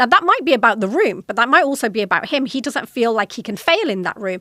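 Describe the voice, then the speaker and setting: A woman with a British accent, fairly high-pitched, at a very fast pace. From Britain. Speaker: podcast host, corporate executive. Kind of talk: solo podcast talk.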